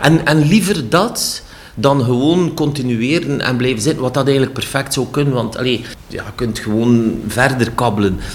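A man with a Flemish accent at a moderate pace and medium pitch, ordinary pitch variation, audible room echo and noticeable background noise. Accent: Flemish Dutch. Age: 60s. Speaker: cultural centre director. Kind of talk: interview. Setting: office. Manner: halting.

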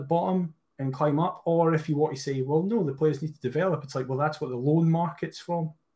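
This man has a Scottish accent and a fairly high pitch with ordinary variation. He talks at a fairly quick pace on a very clean recording with a silent background. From Scotland. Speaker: podcast co-host, football fan. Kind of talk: casual chat.

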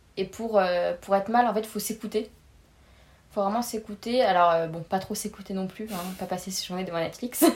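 Somewhat breathy and medium in pitch, a woman speaks at a fairly quick pace with fairly even intonation but big swings in loudness. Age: 20s. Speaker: pharmacy student. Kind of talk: casual interview.

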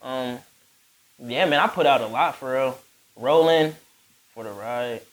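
At a moderate pace, a man speaks in a plain, everyday voice of medium pitch with ordinary pitch variation and big swings in loudness. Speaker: rapper and recording artist. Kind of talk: casual podcast interview. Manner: laid-back, slangy.

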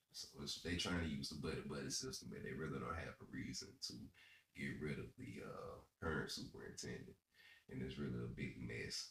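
With vocal fry and long, frequent pauses, a man talks in a very deep, low voice. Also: ordinary pitch variation, fairly quick pace. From US South, South Carolina. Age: 30s. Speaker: podcast co-host. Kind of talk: casual chat.

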